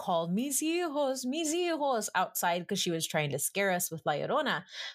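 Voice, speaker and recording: In a very clean recording with a silent background, a woman with an American accent talks at a fairly slow pace using lively intonation. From San Antonio, Texas. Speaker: film critic. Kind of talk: casual chat.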